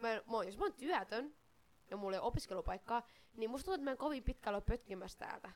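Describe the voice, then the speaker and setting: Her pitch sits fairly high and her intonation is lively. The woman talks at a very fast pace. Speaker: podcast co-host. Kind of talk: casual chat. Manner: stammering.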